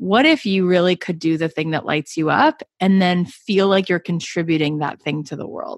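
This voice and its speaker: A woman with an ordinary speaking voice talks at a fairly low pitch and moderate pace, with ordinary pitch variation and hardly any pauses. The sound is dry and close, with no echo. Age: 40s. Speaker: podcast host and business coach. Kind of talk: interview.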